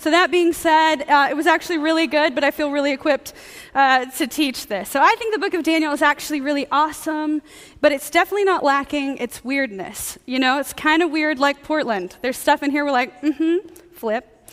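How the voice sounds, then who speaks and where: A woman speaks loudly at a fairly quick pace. Her pitch is high, with ordinary variation. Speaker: preacher. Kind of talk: sermon. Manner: fast.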